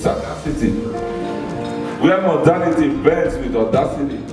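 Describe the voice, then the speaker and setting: A man at fairly high pitch talks at a fairly slow pace. Clear music plays in the background, with audible room echo. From Nigeria. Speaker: poet. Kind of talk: poetry reading. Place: hall.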